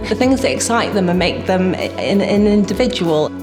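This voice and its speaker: A woman at a medium pitch with ordinary pitch variation and a moderate pace, amid audible room echo and noticeable background noise. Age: 20s. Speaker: assistant music director. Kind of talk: interview.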